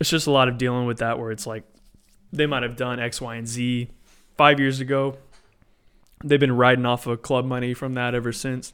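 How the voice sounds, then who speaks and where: In an American accent, the speaker talks at a fairly quick pace with long, frequent pauses and monotone, flat intonation on a very clean recording with a silent background. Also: man, medium pitch for a man. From Texas. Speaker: DJ and music artist. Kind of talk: casual chat.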